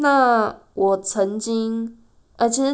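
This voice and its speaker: A woman's fairly high voice at a very slow pace. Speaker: podcast host. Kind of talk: solo podcast monologue.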